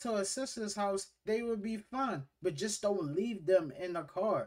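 A man talks at a fairly slow pace. Behind him, the background is quiet. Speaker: reaction video host. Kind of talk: casual commentary. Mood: disapproving, animated. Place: home room. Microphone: earbuds.

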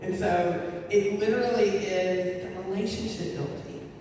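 A woman's dark, mellow voice at medium pitch, fairly slow and fairly even in intonation, with audible room echo

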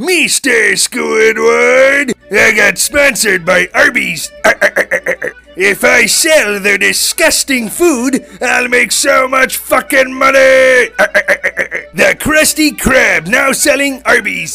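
A man puts on a character voice at an extremely high pitch. He goes at a very slow pace as faint music plays in the background. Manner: gruff, mercenary, excited.

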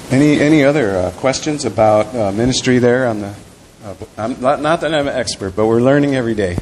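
Speaking at a fairly quick pace, a man with an American accent shows ordinary pitch variation over light background noise. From US Midwest. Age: 50s. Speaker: pastor. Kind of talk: talk about ministry; sermon. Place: church.

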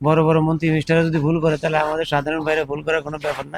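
A man's voice at a fairly high pitch. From Bangladesh, Char Fasson (Bhola). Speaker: YouTube vlogger interviewing migrant workers. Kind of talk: casual street interview.

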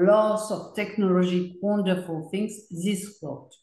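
A woman with a French accent talks at a fairly slow pace, with audible room echo around her. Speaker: video artist. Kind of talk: group discussion. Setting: video call. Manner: halting. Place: home room. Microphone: video call.

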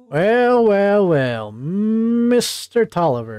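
In a put-on character voice at a middle pitch, the speaker drawls along at a very slow pace. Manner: blustery swaggering.

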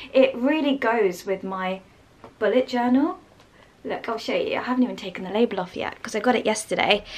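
With a British accent, a woman talks fairly quickly at a fairly high pitch. Her intonation is lively, and her loudness swings widely. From England. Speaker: lifestyle vlogger. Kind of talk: casual vlog. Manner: animated. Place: home room. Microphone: phone near.

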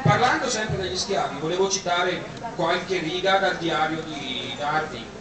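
There is audible room echo and noticeable background noise as a man speaks at a moderate pace. His pitch is high, with ordinary variation. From Bergamo, Italy. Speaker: event host addressing guests. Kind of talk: speech to party guests. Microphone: camera far.

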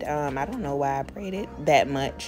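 Music plays in the background while the speech unfolds at a fairly slow pace. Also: woman. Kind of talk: hair tutorial, casual talk to camera. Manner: casual, chatty.

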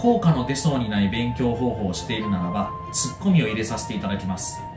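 A man at a fairly quick pace with very wide pitch swings, clear music in the background. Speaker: tutor. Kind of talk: self-introduction promo to camera. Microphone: phone near.

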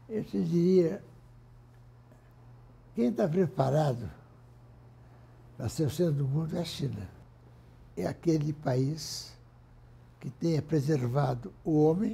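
A man speaks at a very slow pace in a somewhat breathy, dark, mellow tone, with lively intonation and long, frequent pauses. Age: 80s+. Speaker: industrialist, former business federation president. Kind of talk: interview answer. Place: office. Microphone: lapel.

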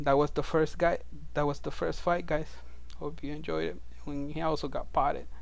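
A man with a strong non-native accent at a moderate pace. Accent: heavy foreign. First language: non-native English speaker. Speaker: video game player. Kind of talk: game tutorial narration.

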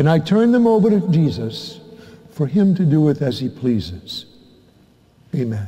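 A man speaks in a dark, mellow, warm tone at a fairly slow pace. His pitch swings very widely. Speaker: parish priest. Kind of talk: homily to a congregation, calm pastoral teaching after the Gospel reading. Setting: church. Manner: warm, unhurried, earnest and conversational; gently persuasive, leads the congregation through a prayer. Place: church.

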